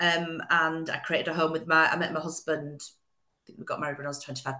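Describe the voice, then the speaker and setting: In a Yorkshire accent, a woman talks at a fairly quick pace with a fairly low pitch. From West Yorkshire, England. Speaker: interior designer. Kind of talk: casual interview chat.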